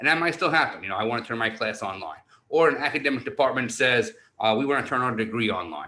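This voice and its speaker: Speaking very fast with an American accent, a man uses lively intonation, a bright, sharp tone and medium pitch. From New York City. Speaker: university online learning director. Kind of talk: conference presentation. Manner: animated.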